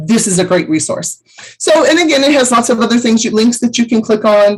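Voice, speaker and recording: A somewhat breathy woman talks at a fairly quick pace with ordinary pitch variation. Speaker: travel agent trainer. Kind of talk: tutorial.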